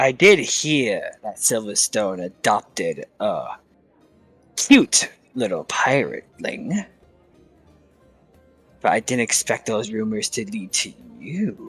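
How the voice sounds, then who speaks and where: Faint music plays in the background as a man uses a put-on character voice at a medium pitch. He leaves long, frequent pauses. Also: fairly slow pace. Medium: actual play. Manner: breezy and condescending.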